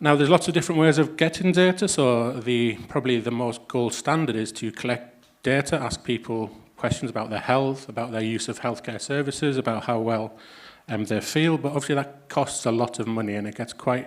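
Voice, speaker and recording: This speaker talks at a fairly quick pace with a northeast England accent and ordinary pitch variation. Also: man. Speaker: health economist, academic. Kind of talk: conference talk. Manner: hesitant, many fillers.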